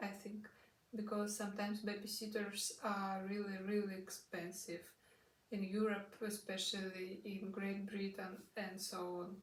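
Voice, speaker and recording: Fairly slow and somewhat breathy, in a Russian accent, with fairly even intonation and audible room echo. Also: woman. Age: 20s. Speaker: au pair vlogger. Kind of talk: casual vlog talk. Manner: halting, many fillers.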